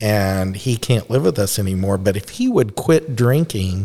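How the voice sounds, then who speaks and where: On a very clean recording with a silent background, a man speaks at a moderate pace. His tone is dark and mellow, his pitch fairly low. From Texas, Dallas. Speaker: recovering alcoholic guest. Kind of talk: personal testimony.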